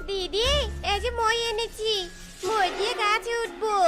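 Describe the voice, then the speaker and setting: A cartoonish character voice at an extremely high pitch moves along at a fairly slow pace. Music plays in the background. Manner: sharp, scolding.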